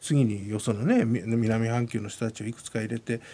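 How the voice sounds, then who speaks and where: A man with a normal speaking voice, medium in pitch, at a moderate pace. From Japan, Yamanashi. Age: 50s. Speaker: rugby executive and university professor. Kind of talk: radio interview.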